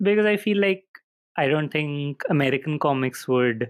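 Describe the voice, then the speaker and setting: A man in a Goan accent, with very wide pitch swings. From India. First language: Konkani. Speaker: artist and cartoonist. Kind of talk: podcast interview. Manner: hesitant, many fillers.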